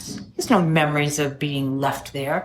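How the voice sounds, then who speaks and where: A woman's very deep, low voice comes with audible room echo and noticeable background noise. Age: 70s. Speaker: AA speaker. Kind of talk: testimony.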